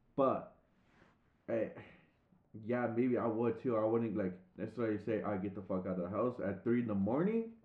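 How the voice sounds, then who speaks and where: A man with an American accent talks at a medium pitch with fairly even intonation, and the room echo is audible. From San Diego, California. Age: 20s. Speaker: podcast co-host. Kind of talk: casual chat.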